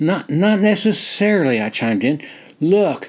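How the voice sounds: The speaker uses a natural reading voice throughout.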